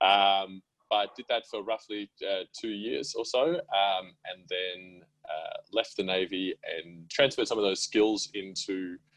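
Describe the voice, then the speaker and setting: This is a man speaking with an Australian accent. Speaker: app co-founder, entrepreneur. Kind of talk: interview conversation.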